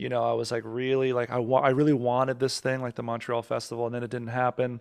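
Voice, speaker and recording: A man talks at a medium pitch. The background is quiet. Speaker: musician and comedian. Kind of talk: casual chat. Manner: rambling.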